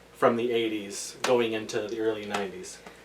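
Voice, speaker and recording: A man speaks over noticeable background noise. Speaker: podcast host. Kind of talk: casual chat. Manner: loud.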